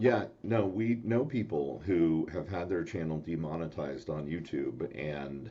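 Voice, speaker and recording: This man's very deep, low voice has a dark, mellow tone and lively intonation, moving at a fairly slow pace with hardly any pauses. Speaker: talk show host. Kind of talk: casual chat. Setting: live video stream. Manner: soft-spoken. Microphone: new mic and soundboard, sounded too quiet.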